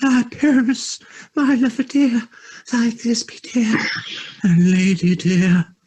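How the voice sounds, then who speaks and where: In a squeaky, put-on character voice pitched extremely high, a man talks at a fairly slow pace with ordinary pitch variation, very even loudness, and long, frequent pauses. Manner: theatrical, affected.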